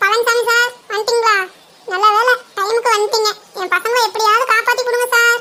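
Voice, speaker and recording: An extremely high-pitched cartoonish character voice moves at a moderate pace. Its intonation stays monotone and flat. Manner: forceful, emotional.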